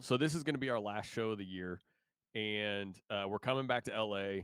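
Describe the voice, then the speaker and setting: On a very clean recording with a silent background, a man with a slight Midwestern accent speaks in an animated tone at a medium pitch, with ordinary pitch variation. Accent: slight Midwest twang. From Indiana. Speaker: musician. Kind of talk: interview. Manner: casual, animated.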